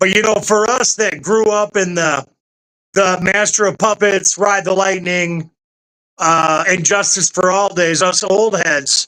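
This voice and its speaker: A man speaks in a raised, projected voice with a high pitch. His intonation stays fairly even. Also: fairly slow pace, very even loudness. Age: 50s. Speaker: podcast co-host. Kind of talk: casual chat.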